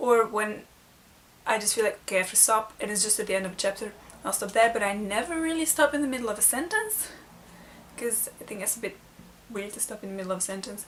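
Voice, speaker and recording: Over noticeable background noise, a woman with a non-native accent and fairly high pitch talks very fast with long, frequent pauses and ordinary pitch variation. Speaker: book vlogger. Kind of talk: casual vlog tag video.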